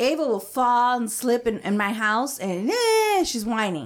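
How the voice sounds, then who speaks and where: A plain, everyday voice from a woman with an American accent, fairly high-pitched and fairly slow, in a very clean recording with a silent background. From Mexican American, US. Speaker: podcast co-host. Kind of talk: casual group chat.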